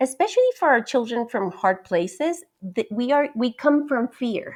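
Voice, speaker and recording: A woman's high-pitched voice at a moderate pace, with very wide pitch swings, on a very clean recording with a silent background. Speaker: podcast co-host and book illustrator. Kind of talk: casual conversation. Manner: halting, with restarts.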